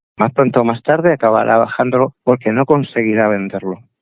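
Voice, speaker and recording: A man with an unremarkable speaking voice speaks at a medium pitch with ordinary pitch variation. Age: 60s. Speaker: computer collector. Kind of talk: interview.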